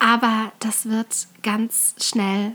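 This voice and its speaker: Noticeable background noise comes through the clip. A woman speaks at a fairly high pitch. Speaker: podcast host and calligrapher. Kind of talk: solo podcast tutorial.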